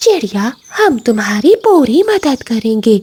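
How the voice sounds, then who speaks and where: A woman uses a cartoonish character voice with a high pitch. She talks at a fairly slow pace with very wide pitch swings. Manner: authoritative.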